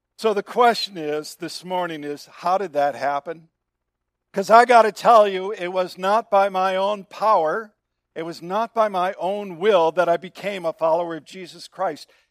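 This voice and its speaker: The speaker talks at a moderate pace with ordinary pitch variation and big swings in loudness, in a dry, close sound with no echo. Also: man, high pitch for a man. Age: 60s. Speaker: pastor. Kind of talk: sermon. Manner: animated.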